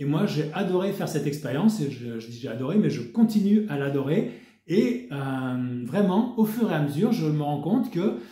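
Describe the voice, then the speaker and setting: With noticeable background noise and audible room echo, a man talks at a moderate pace in a fairly high pitch, his pitch swinging very widely. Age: 60s. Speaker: wellness network marketer. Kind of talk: sales pitch. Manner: casual, with hesitations.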